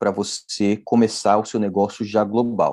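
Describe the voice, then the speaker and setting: A man against a quiet background. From Brazil, São Paulo. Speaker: entrepreneur. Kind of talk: interview. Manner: hesitant, many fillers.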